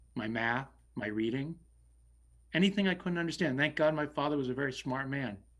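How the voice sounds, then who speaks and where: The recording is very clean with a silent background, and the speech moves at a fairly quick pace with ordinary pitch variation. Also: man. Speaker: select board member, local election candidate. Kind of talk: candidates forum answer. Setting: virtual forum. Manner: loud; halting.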